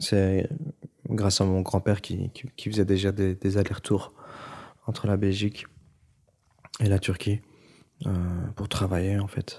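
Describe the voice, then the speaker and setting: A man speaks somewhat breathily at a fairly slow pace, with a fairly low pitch, a dark, mellow tone, monotone, flat intonation, and long, frequent pauses. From Brussels, Belgium, Turkish family. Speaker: musician. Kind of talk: interview testimony. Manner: halting.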